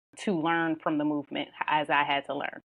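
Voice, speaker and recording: The delivery is fairly quick. Intonation stays monotone and flat. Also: woman. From Philadelphia area, Pennsylvania. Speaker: nurse anesthetist and life coach. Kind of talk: podcast interview.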